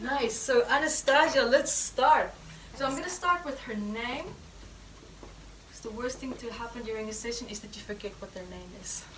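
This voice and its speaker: Through noticeable background noise and audible room echo, a woman with a non-native accent speaks at a moderate pace in a high voice, with ordinary pitch variation and big swings in loudness. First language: not English. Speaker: healing therapy teacher. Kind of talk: live teaching demonstration session. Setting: course room with live audience.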